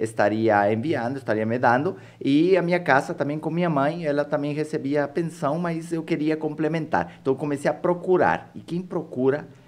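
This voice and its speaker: Moderate pace and ordinary pitch variation, in an Ecuadorian accent. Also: man. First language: Spanish (speaking Portuguese). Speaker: entrepreneur and author. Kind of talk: podcast interview.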